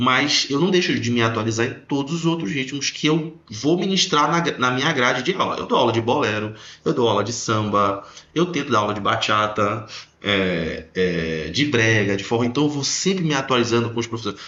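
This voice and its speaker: In a room with audible echo, a man speaks at a moderate pace with lively intonation. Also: medium pitch for a man. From Belém do Pará, northern Brazil. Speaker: dance teacher. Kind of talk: casual podcast conversation.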